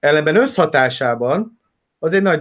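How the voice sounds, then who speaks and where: Here a man speaks with ordinary pitch variation. The background is quiet. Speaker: football coach and analyst. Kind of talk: casual interview chat about football. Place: home room. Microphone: webcam.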